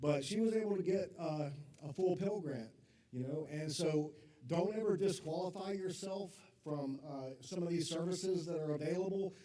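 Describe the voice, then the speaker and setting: Loud and high, a man's voice moves at a moderate pace with ordinary pitch variation. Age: 50s. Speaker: college academic advisor. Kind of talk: informational talk to parents.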